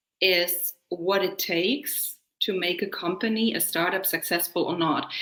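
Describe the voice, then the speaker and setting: Ordinary pitch variation shapes the voice of a woman speaking with a German accent. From Germany. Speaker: leadership coach. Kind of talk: podcast interview. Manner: fast.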